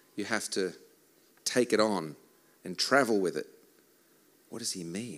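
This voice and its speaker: In a very clean recording with a silent background, a man with an Australian accent speaks at a moderate pace with ordinary pitch variation. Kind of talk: church talk with songs, interpreted live. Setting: stage with audience.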